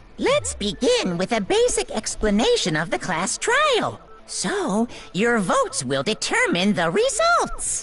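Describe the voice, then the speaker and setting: Over clear background noise, a put-on character voice speaks at a fairly slow pace. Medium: video game. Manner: gleeful, sing-song.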